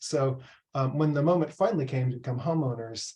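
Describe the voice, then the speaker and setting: A man with an American accent speaks fairly quickly at medium pitch, his dark, mellow tone somewhat breathy and his intonation fairly even. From US Pacific Northwest, Seattle. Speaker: professor. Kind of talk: presentation. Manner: hesitant, many fillers.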